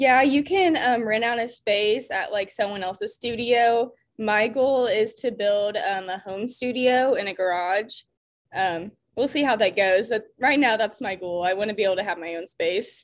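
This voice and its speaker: This woman has a Midwestern American accent and a fairly high pitch. The background is quiet. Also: ordinary pitch variation, moderate pace. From Indiana, US Midwest. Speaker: ceramicist. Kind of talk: casual interview chat. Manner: casual, filler-heavy.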